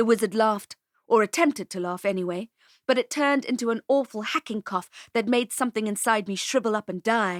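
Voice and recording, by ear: The speaker is reading aloud in a natural voice. Pitch varies in an ordinary way over a quiet background.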